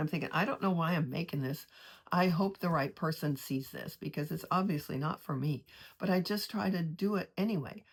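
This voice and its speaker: A woman's fairly low, somewhat breathy voice, fairly quick and with lively intonation, on a very clean recording with a silent background. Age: 70s. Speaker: artist and vlogger. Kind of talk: casual personal monologue. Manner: halting, many restarts.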